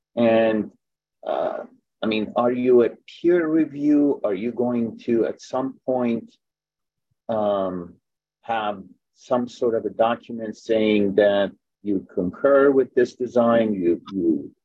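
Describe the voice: Speaking at a slow pace, a man has a fairly low pitch with a slightly husky edge.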